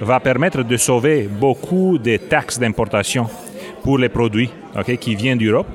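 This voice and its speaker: Over noticeable background noise, a man with a Romanian accent speaks at a fairly slow pace and a medium pitch. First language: Romanian (speaking French). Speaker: business executive. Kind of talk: interview. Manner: hesitant, many fillers.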